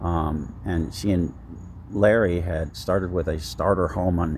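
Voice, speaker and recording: In a room with audible echo, a man with an American accent speaks in a very deep, low pitch with ordinary pitch variation. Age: 70s. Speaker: vlogger. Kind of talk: personal vlog monologue. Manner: halting, many fillers.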